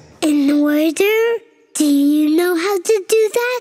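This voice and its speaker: In a cartoonish character voice, the speaker uses an extremely high pitch at a fairly slow pace. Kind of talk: children's cartoon. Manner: excitable, proud.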